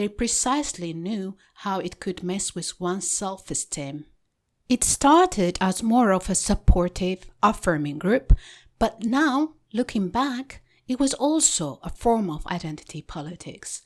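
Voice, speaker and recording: A woman with an Ethiopian accent at medium pitch and a fairly slow pace, with very wide pitch swings and big swings in loudness, on a very clean recording with a silent background. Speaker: podcast host and author. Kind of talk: reading aloud.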